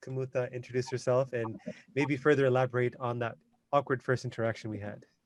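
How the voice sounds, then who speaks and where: Fairly quick delivery in a Canadian accent with monotone, flat intonation. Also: man. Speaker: podcast host. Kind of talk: casual interview chat.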